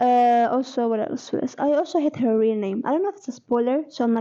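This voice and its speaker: With an Arabic accent, a woman speaks fairly quickly in a high, dark, mellow voice with ordinary pitch variation. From Egypt. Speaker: book vlogger. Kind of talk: casual reading vlog. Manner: hesitant, many fillers and restarts.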